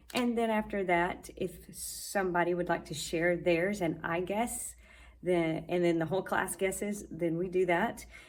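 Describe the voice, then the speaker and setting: Audible room echo carries a woman's fairly low voice as she talks fairly slowly. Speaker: Spanish teacher. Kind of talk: vlog tutorial. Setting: classroom.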